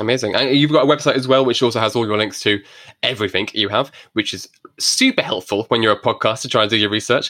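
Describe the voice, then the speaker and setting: A man's mumbled, very fast speech with an English accent, medium in pitch, bright and sharp in tone, fairly even in intonation, on a very clean recording with a silent background. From England. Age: 30s. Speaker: podcast host. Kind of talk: casual interview chat. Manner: fast talker, mumbles.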